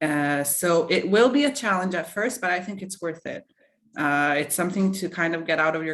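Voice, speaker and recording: A woman speaks with a non-native accent at a moderate pace. Her pitch is fairly low, with ordinary variation. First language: not English. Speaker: alumna / former student. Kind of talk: webinar Q&A.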